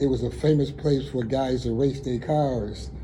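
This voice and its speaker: The speech moves at a moderate pace with ordinary pitch variation, in an American accent. Noticeable background noise and audible room echo surround it. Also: man. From Buffalo, New York (east side). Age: 70s. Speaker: community resident. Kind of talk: interview. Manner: halting.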